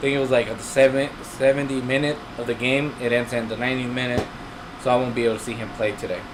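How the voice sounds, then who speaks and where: A man at medium pitch with monotone, flat intonation, a very fast pace, and noticeable background noise. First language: not English. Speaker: aquarium hobby youtuber. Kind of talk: live stream chat. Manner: casual, halting with fillers.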